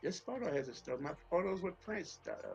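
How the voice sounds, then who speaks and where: A man with an American accent and a high pitch, at a moderate pace, with music in the background. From Atlanta, Georgia, US South. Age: 60s. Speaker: author and former music industry executive. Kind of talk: podcast interview. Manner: conversational, with fillers and repetitions.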